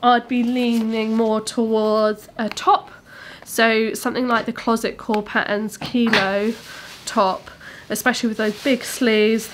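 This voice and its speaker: A woman speaks with noticeable background noise. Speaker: fabric shop owner and sewing presenter. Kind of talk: product showcase tutorial. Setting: studio. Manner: casual, chatty with filler words.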